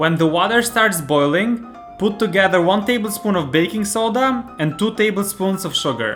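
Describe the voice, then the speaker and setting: Over music in the background, a man speaks at a moderate pace, his pitch swinging very widely. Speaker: home cook, recipe video host. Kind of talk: recipe tutorial narration.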